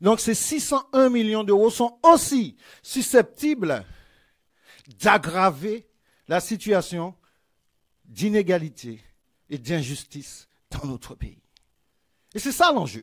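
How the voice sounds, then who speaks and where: A man's high-pitched voice, very slow, with very wide pitch swings and long, frequent pauses, over a quiet background. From Martinique. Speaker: politician. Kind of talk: political rally speech. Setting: stage with audience. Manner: oratorical. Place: hall. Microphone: podium.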